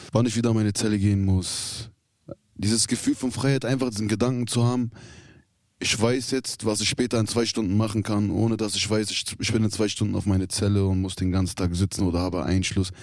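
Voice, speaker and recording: On a very clean recording with a silent background, an unremarkable speaking voice moves at a fairly quick pace with fairly even intonation. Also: man, fairly low pitch for a man. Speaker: prison inmate. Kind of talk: interview. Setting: youth prison.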